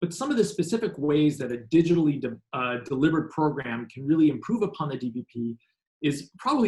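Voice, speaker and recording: A man speaks at a fairly quick pace with a fairly high pitch. His voice is somewhat breathy, with lively intonation. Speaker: health program presenter. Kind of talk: webinar presentation. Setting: online webinar. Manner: fast; halting, many fillers.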